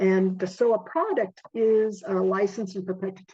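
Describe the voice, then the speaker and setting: Over a quiet background, a woman with a dark, mellow tone speaks at a fairly slow pace with fairly even intonation. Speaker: webinar presenter. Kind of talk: webinar presentation. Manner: hesitant, many fillers. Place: home room. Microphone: video call.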